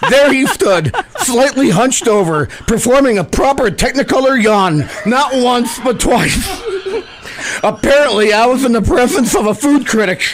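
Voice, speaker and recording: Noticeable background noise sits behind a man with an extremely high pitch and lively intonation. His loudness stays very even. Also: moderate pace. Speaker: radio host. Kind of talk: humorous monologue narration.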